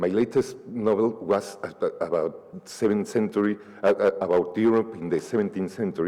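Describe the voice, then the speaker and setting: The speaker is a man with a Spanish accent. He talks at a moderate pace. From Mexico City. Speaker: novelist. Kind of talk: panel discussion. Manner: halting, many repetitions.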